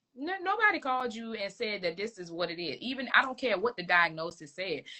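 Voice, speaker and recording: A woman with a Virginia accent, very wide pitch swings and a moderate pace. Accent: Southern US, Virginia. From rural Virginia, US South. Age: 20s. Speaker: licensed clinical social worker, therapist. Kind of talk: casual interview chat. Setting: Instagram live video stream.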